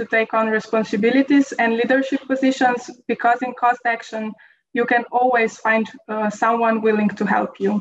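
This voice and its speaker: Over light background noise, a woman talks at a moderate pace. Her fairly high voice stays monotone and flat. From Slovenia. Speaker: veterinary epidemiologist. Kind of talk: testimony. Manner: formal, read-out style. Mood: calm, encouraging. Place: office. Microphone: webcam.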